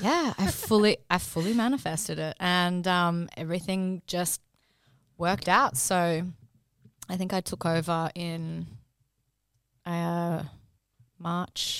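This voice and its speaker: In an Australian accent, a woman with a fairly low pitch speaks very slowly and with fairly even intonation, leaving long, frequent pauses on a very clean recording with a silent background. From Brisbane, Australia. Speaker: registered nurse and cosmetic injector, podcast co-host. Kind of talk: casual chat.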